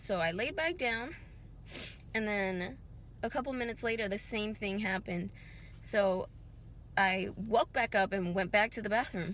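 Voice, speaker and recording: Over light background noise, a woman talks at a moderate pace with ordinary pitch variation, in a dry sound with no echo. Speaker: vlogger. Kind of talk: casual vlog chat. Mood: worried, recounting a health scare. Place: car. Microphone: phone near.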